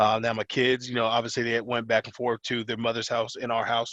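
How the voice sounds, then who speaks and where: It's a normal speaking voice: a man of medium pitch with an American accent, going at a fairly quick pace. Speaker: wrestling coach. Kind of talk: interview. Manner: casual, filler-heavy.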